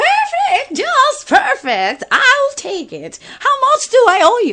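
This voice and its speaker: In a put-on character voice, a woman squeaks at an extremely high pitch and a very slow pace, with very wide pitch swings and big swings in loudness. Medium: audio drama.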